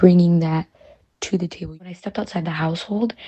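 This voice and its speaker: A woman's somewhat breathy, fairly low voice with an American accent. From US Midwest, Chicago. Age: 20s. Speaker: college student. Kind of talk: interview.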